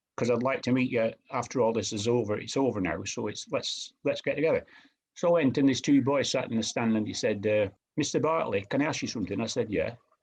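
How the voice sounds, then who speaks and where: A man with a northern English accent speaks at a very fast pace. His pitch is medium, and the background is quiet. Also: ordinary pitch variation. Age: 80s+. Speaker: retired professional footballer. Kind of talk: interview answer.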